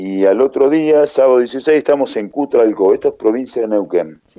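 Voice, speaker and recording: A man's voice with a fairly high pitch. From Argentina, Tandil. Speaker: rock band leader and singer. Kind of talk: interview.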